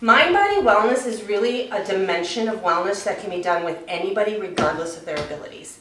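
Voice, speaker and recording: A woman at a medium pitch talks at a fairly quick pace, with noticeable background noise and audible room echo. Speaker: wellness program trainer. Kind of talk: staff training presentation. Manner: fast.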